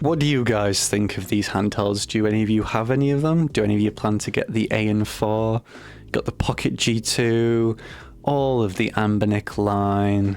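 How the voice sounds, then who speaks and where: A man speaks with a British accent. His pitch is fairly low and his loudness very even. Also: moderate pace. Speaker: gaming YouTuber. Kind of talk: casual vlog talk to camera. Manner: monotone; mumbling, halting.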